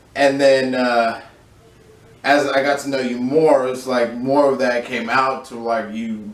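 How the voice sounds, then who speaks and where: Amid noticeable background noise and audible room echo, a man speaks at a medium pitch and a fairly slow pace with monotone, flat intonation. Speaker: streamer. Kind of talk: casual chat.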